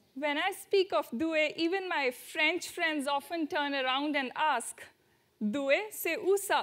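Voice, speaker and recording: Speaking at a very slow pace with an Indian accent, a woman uses a high pitch with ordinary pitch variation and a bright, sharp tone. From India, near Delhi. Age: 20s. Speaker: student traveler. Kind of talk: talk to audience.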